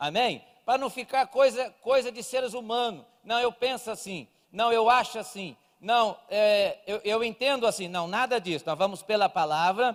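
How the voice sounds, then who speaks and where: A man speaks at a high pitch with ordinary pitch variation and a fairly slow pace. The recording is very clean, with a silent background. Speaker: evangelist preacher. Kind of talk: sermon. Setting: church service with small audience, livestreamed.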